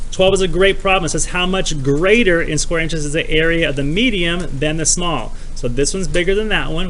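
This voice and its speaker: A man talks at a very fast pace in a high voice with ordinary pitch variation, against audible room echo and noticeable background noise. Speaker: math teacher. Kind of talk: tutorial. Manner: animated.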